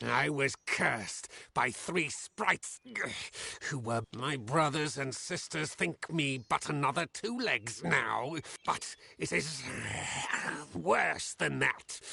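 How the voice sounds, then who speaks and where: A man speaks in a put-on character voice at medium pitch, moving at a fairly slow pace with long, frequent pauses. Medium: video game. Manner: blunt, simple phrasing.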